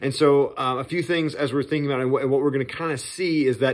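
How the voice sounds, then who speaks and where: With a quiet background, a man is heard talking. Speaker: church pastor. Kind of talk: casual sermon preview talk. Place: home room.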